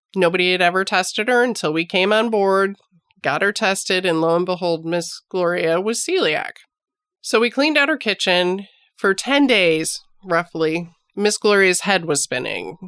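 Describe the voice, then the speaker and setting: With an unremarkable speaking voice, a woman talks at medium pitch and a moderate pace. Her intonation is lively and her loudness very even. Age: 50s. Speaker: nurse and podcast host. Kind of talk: health podcast monologue. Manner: conversational.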